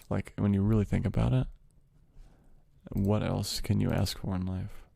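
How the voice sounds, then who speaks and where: With long, frequent pauses, a man speaks at a moderate pace in a very deep, low voice with a dark, mellow tone and lively intonation. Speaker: ASMR streamer. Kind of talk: casual live stream chat to audience.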